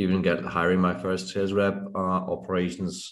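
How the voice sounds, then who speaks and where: This man has a very deep, low pitch. He talks at a fairly quick pace. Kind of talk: interview answer. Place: home room. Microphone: video call.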